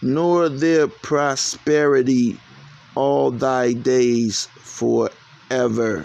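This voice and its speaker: Amid noticeable background noise, a man at medium pitch speaks very slowly with ordinary pitch variation. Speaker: street preacher. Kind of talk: sermon. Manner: animated.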